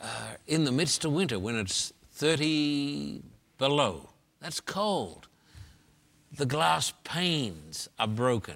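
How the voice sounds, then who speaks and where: In an Australian accent, the voice moves at a very slow pace with very wide pitch swings, on a very clean recording with a silent background. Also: man, fairly high pitch for a man. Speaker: pastor and evangelist. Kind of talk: interview.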